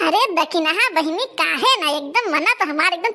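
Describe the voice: In a cartoonish character voice, a woman speaks at an extremely high pitch. Her pace is fairly quick.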